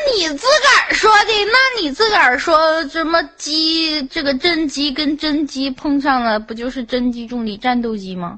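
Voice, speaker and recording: Over noticeable background noise, the speech goes at a fairly slow pace with hardly any pauses and very wide pitch swings. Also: woman, high pitch for a woman. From Xinjiang, China (Han Chinese). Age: 20s. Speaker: voice chat room caller. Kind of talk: casual chat.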